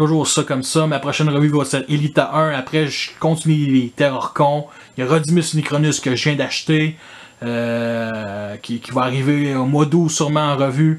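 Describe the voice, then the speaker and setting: Speaking at a fairly high pitch, a man keeps a moderate pace and fairly even intonation. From Quebec. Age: 30s. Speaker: toy collector YouTuber. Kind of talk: casual improvised monologue. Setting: in front of his toy collection. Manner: casual, filler-heavy.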